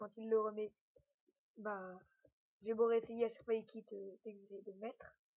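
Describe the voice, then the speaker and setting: The woman's pitch is fairly high. Her intonation stays monotone and flat. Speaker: gaming YouTuber. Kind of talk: gameplay commentary. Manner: hesitant, many fillers.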